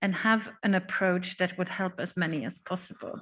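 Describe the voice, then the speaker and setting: A woman's somewhat breathy voice over a quiet background. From Sweden. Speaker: panel moderator. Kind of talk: panel discussion. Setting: conference room with audience.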